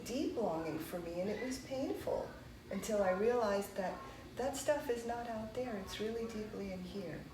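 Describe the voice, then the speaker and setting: A woman's medium-pitched voice with lively intonation at a moderate pace, with audible room echo and noticeable background noise. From United States, child of immigrants. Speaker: meditation teacher. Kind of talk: conversational discussion.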